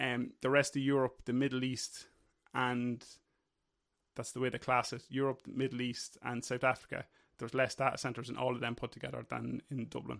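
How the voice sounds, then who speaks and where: Fairly quick male speech in an Irish accent with monotone, flat intonation. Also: medium pitch for a man, very clean recording, silent background. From Ireland. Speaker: workplace safety officer. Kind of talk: casual chat.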